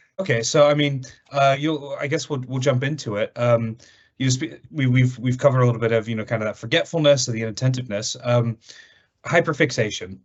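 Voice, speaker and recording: At a fairly quick pace, a man talks at a medium pitch with ordinary pitch variation. His voice is somewhat breathy. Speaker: podcast host. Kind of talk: casual podcast chat.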